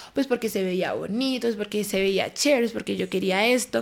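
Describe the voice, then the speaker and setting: A woman's unremarkable speaking voice, fairly high in pitch, at a fairly quick pace with ordinary pitch variation. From Colombia, Bogotá. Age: 20s. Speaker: dancer. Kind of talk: casual chat.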